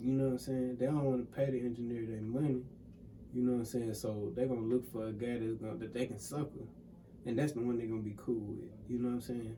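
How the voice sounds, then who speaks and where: With a Mississippi accent, a man speaks at a very fast pace in a monotone, with flat intonation and medium pitch, with audible room echo. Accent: Southern US, Mississippi. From US South. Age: 20s. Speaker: music producer and engineer. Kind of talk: casual interview. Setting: studio.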